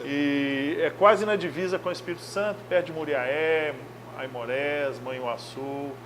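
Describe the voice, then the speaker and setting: Over noticeable background noise, a man with a fairly high voice speaks at a fairly slow pace with ordinary pitch variation. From Brazil, Minas Gerais (Belo Horizonte). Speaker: football coach. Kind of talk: interview.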